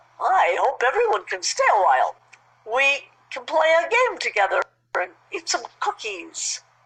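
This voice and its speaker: Using a put-on character voice, a woman speaks at a moderate pace with high pitch. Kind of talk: bedtime story. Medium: read story.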